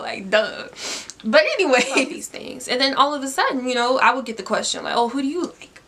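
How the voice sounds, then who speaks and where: A woman's high, raised and projected voice at a fairly quick pace, with ordinary pitch variation and noticeable background noise. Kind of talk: casual talk to camera.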